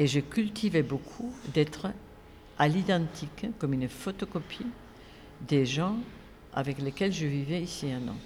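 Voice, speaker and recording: With a Spanish accent and a somewhat breathy sound, the speaker goes at a fairly slow pace with long, frequent pauses. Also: woman, very deep, low pitch for a woman, lively intonation. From Spain. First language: Spanish (speaking French). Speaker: film festival director and academic. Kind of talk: interview. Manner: halting.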